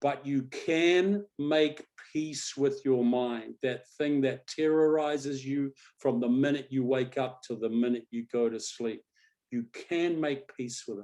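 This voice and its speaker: A man with an Australian accent talks at a fairly slow pace, his pitch fairly high with ordinary variation. His tone is dark and mellow. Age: 60s. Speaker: coach and hypnotist. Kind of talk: webinar panel talk. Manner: animated.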